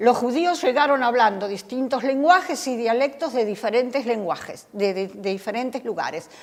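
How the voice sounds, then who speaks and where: Lively intonation at a moderate pace, with hardly any pauses. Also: woman, high pitch for a woman. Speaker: Bible study teacher. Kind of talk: Bible study lecture.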